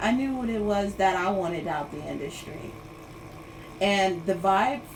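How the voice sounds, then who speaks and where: A woman of medium pitch speaks with ordinary pitch variation amid noticeable background noise and audible room echo. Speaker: livestreamer. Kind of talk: casual livestream chat. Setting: Instagram live stream. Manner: rambling, filler-heavy.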